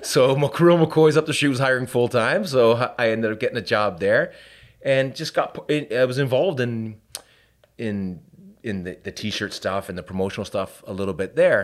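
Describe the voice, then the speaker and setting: In a Canadian accent, a man with an ordinary speaking voice talks at a moderate pace and medium pitch, his intonation lively. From Canada, Hamilton, Ontario. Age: 40s. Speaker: business owner. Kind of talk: casual chat.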